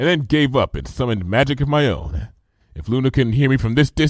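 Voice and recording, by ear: Over a quiet background, a natural voice reads aloud, its pitch varying in an ordinary way.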